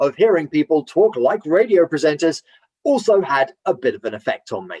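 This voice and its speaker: Loud and at a moderate pace, a man speaks in a dry, close sound with no echo. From Romford, Essex, England. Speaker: voiceover artist and radio presenter. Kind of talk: interview. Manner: loud, unaware of own volume; somewhat stifled, hesitant speech.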